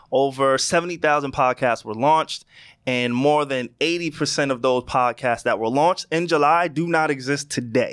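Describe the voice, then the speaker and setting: An animated, fairly slow delivery in a New York accent, on a very clean recording with a silent background. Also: man, fairly high pitch for a man. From New York (Queens, then Long Island). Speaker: podcast co-host. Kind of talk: casual chat. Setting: studio.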